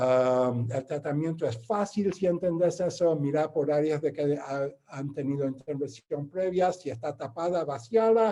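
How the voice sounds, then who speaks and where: A man's fairly high-pitched voice with a non-native accent, a dark, mellow tone and ordinary pitch variation. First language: not Spanish (speaking Spanish). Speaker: interventional radiologist. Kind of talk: lecture. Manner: halting.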